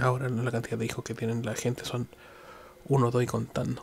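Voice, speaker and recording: Amid noticeable background noise, a man in a Chilean accent speaks at a fairly quick pace and medium pitch. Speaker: podcaster. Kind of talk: solo monologue. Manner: halting.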